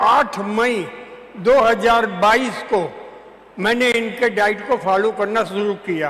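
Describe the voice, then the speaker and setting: Amid noticeable background noise, a man with an extremely high pitch speaks with fairly even intonation. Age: 80s+. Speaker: retired lawyer giving health testimony. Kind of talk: testimony.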